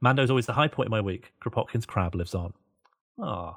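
A somewhat breathy, medium-pitched man at a very fast pace with lively intonation, in a dry, close recording with no echo, very clean and with a silent background. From Birmingham, England. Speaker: podcast host. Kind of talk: casual chat.

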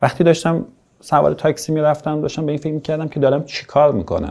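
A man's very fast delivery in a dark, mellow tone. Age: 40s. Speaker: writer and podcast co-founder. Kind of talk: interview storytelling.

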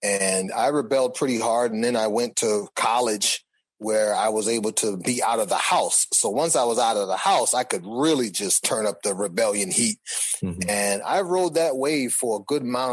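Here is a man with a plain, everyday voice and an American accent, at a medium pitch. He keeps a moderate pace, ordinary pitch variation and very even loudness. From Boston. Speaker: music artist. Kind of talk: interview.

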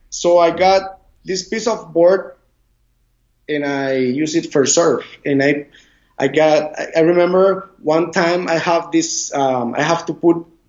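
A man with a Spanish accent speaks at a very slow pace. His pitch is high. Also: ordinary pitch variation. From Costa Rica, Caribbean side. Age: 40s. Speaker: surf instructor. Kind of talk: interview. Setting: video call. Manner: halting; loud.

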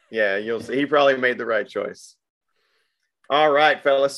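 With a Southern US accent, a man with a fairly high pitch speaks against a quiet background. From Arkansas (Little Rock area). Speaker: podcast host. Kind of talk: casual chat.

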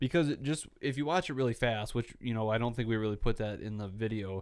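A man's unremarkable speaking voice at medium pitch, with ordinary pitch variation and a fairly quick pace. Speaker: podcast host. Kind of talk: casual chat. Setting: studio.

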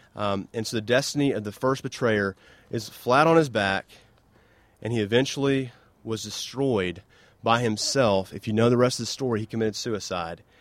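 Medium in pitch, a man speaks at a moderate pace. His pitch variation is ordinary. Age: 30s. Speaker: campus minister. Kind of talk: sermon. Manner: halting.

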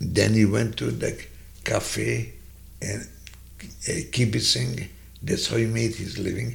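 A man speaks with a Hungarian accent. His pace is very slow. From Hungary. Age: 90s. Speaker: Holocaust survivor. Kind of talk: personal testimony. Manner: slow, halting.

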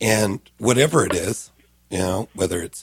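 Somewhat breathy, a man speaks at a fairly low pitch and a moderate pace. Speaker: senior living community relations director. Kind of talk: radio interview. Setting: studio.

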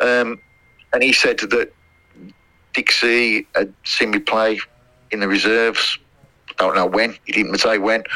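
The speaker has a Midlands accent and leaves long, frequent pauses. Noticeable background noise runs underneath. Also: man, fairly slow pace. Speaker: former footballer. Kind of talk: interview. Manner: halting, many fillers.

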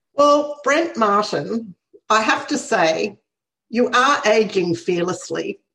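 A woman with an Australian accent speaks at a very slow pace and a fairly high pitch. Her pitch swings very widely while her loudness stays very even. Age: 60s. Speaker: podcast host. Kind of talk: casual interview. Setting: video call.

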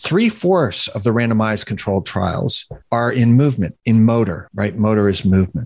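Lively intonation and a moderate pace in a normal speaking voice. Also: man, medium pitch for a man. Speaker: clinical researcher and author, podcast host. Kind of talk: casual podcast discussion.

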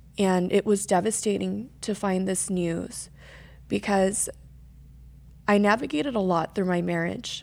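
The speech comes at a fairly slow pace with long, frequent pauses and ordinary pitch variation. The recording is very clean, with a silent background. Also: woman, medium pitch for a woman. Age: 20s. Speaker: guest sharing cancer and faith story. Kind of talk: testimony.

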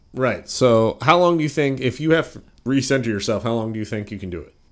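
A man with an ordinary speaking voice talks fairly quickly and with lively intonation, recorded very cleanly against a silent background. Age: 40s. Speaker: podcast host. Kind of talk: casual chat; mock sponsor ad read.

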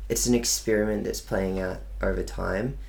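A man talks at a moderate pace. He speaks with an Australian accent. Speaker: digital marketing agency owner. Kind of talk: casual chat. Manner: articulate.

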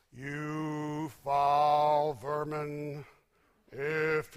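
A man puts on a character voice at a fairly high pitch. The recording is very clean, with a silent background. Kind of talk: archaic, biblical. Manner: thundering, fierce, denouncing.

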